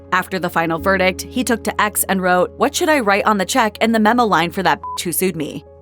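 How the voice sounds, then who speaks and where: A woman at a fairly quick pace, ordinary pitch variation, music in the background. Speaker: voiceover narrator. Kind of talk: celebrity biography narration.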